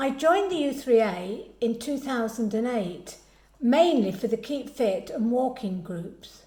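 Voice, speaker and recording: With an English Midlands accent, a woman speaks at a fairly slow pace with a high pitch and lively intonation. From English Midlands, Derbyshire-Staffordshire border. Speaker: club committee member. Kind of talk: personal introduction.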